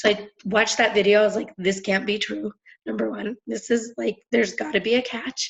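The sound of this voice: Raspy with a slightly husky edge and vocal fry, a woman talks at a moderate pace and medium pitch with little pitch movement.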